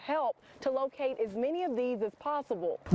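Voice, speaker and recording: A woman talks at a high pitch with ordinary pitch variation. Noticeable background noise can be heard. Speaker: TV news anchor and reporter. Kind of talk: TV news anchoring and field reporting. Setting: on-location field reporting.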